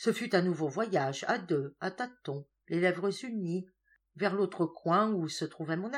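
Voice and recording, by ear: Reading aloud in a natural voice takes place with a quiet background.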